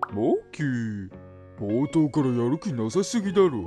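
Over clear background music, a man uses a put-on character voice at a medium pitch, speaking at a fairly slow pace. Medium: dub. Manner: casual, laid-back.

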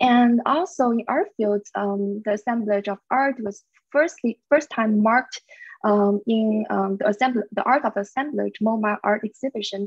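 The speaker talks at a fairly slow pace with a Chinese accent and ordinary pitch variation, in a dry recording with no echo and a quiet background. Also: woman. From China. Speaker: media artist and researcher; presenter. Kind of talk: presentation. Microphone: video call.

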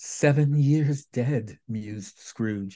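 The background is quiet as a man speaks at a very slow pace. His intonation is lively. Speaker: storyteller. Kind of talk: dramatic reading of a story. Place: home room. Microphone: phone near.

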